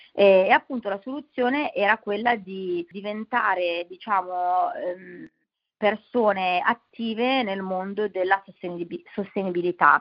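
Speaking at a fairly slow pace, a woman uses an ordinary speaking voice at a medium pitch. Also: ordinary pitch variation. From Milan, Italy. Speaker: nonprofit founder. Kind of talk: interview.

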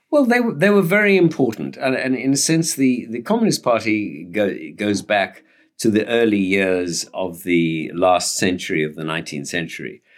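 A man's fairly low-pitched voice at a moderate pace, with very wide pitch swings. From South Africa. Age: 70s. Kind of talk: interview.

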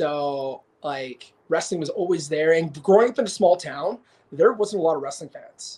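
The speaker has a Canadian accent. Loudness rises and falls in big swings. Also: man, high pitch for a man, ordinary pitch variation, moderate pace. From Alberta, Canada. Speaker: professional wrestler. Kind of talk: casual chat.

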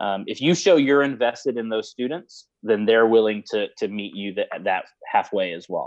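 Here is a man with an unremarkable speaking voice and an American accent. He speaks at medium pitch and a moderate pace, with lively intonation. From Houston, Texas. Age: 30s. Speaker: high school theater director. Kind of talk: interview.

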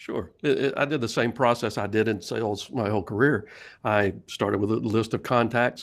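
A man's normal speaking voice, medium in pitch with fairly even intonation, at a moderate pace on a very clean recording with a silent background. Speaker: sales coach and author. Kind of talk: interview chat.

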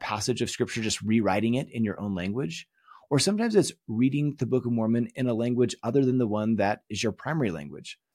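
On a very clean recording with a silent background, a man speaks in an ordinary speaking voice at medium pitch, fairly quick pace, with ordinary pitch variation. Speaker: course teacher. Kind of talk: lecture.

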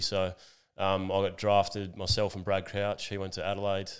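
A man's fairly low-pitched voice in an Australian accent, with monotone, flat intonation. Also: very clean recording, silent background. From Western Australia (near Geraldton). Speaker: professional footballer. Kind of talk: casual chat. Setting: makeshift home bar.

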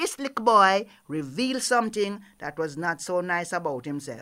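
A woman with a Jamaican accent speaks at a medium pitch in an animated, playful tone. Her pitch swings very widely. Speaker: storyteller. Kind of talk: oral storytelling, folktale performance with call-and-response opening.

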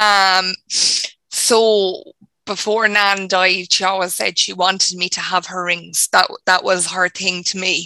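A woman's medium-pitched, bright, sharp voice, monotone and flat, at a very slow pace, dry and close with no echo, in a very clean recording with a silent background. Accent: Irish. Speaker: audience member receiving reading.

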